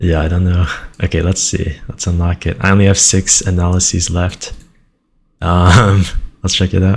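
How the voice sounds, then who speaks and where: A somewhat breathy man at a very deep, low pitch, with monotone, flat intonation, a moderate pace and long, frequent pauses. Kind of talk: casual screen-recording commentary.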